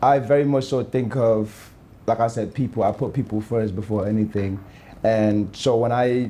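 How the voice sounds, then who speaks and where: A man speaks in a dark, mellow tone. His pitch variation is ordinary. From Gambia. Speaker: influencer and model; influencer. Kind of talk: casual interview. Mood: calm, reflective. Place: bar.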